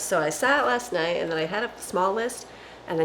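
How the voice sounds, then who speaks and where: Against noticeable background noise, a woman speaks at medium pitch with lively intonation. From northern Canada. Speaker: home cooking vlogger. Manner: casual, chatty.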